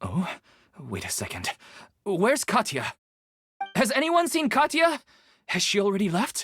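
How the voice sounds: Putting on a character voice, a woman speaks at a fairly slow pace in a medium pitch with very wide pitch swings, a fairly bright tone and a slightly husky edge.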